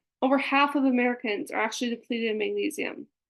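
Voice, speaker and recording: Over a quiet background, a woman talks at a very fast pace. Her pitch is fairly high, with ordinary variation. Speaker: wellness coach. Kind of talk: webinar presentation.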